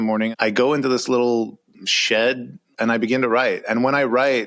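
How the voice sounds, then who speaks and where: Here is a normal speaking voice with an American accent. It moves at a moderate pace. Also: man. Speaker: author. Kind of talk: interview.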